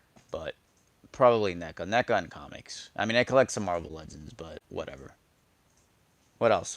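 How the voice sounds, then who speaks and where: A man with a fairly low voice talks fairly quickly, his intonation lively and his loudness swinging widely. The sound is dry and close with no echo, the background is quiet, and long pauses come often. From New York. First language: Spanish. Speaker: toy collector streamer. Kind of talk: casual live stream chat. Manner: animated.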